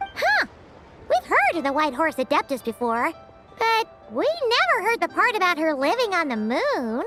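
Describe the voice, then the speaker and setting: Clear music plays behind a cartoonish character voice that is female-sounding, extremely high in pitch and full of very wide pitch swings. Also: moderate pace. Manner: excitable, refers to self in third person.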